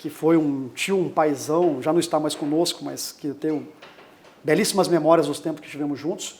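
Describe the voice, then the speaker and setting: The voice is an unremarkable speaking voice. It moves at a moderate pace with fairly even intonation. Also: man, fairly high pitch for a man. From Brazil, Campo Grande, Mato Grosso do Sul. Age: 40s. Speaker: lawyer, bar association president. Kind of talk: interview.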